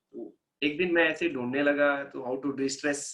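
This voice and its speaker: This man's fairly high voice has a bright, sharp tone and fairly even intonation. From India, outside Hindi-speaking north. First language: non-Hindi Indian language (speaking Hindi). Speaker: laughter yoga instructor. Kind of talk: wellness workshop talk. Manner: casual, mixes Hindi and English.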